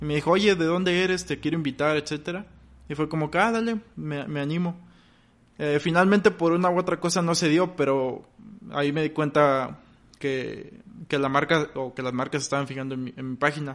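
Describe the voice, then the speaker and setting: A man's normal speaking voice, fairly high in pitch, with ordinary pitch variation and a fairly quick pace over a quiet background. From Mexico, Victoria, Tamaulipas. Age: 20s. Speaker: goalkeeper content creator. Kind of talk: interview.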